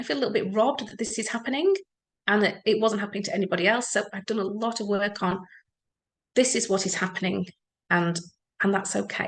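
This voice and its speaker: With an English accent, a woman speaks in an animated tone at a medium pitch. Her pace is very fast, broken by long, frequent pauses. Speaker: EFT practitioner. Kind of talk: talk to an audience.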